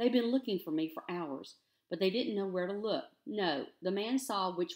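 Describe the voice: The voice is plain reading aloud with ordinary pitch variation over a quiet background.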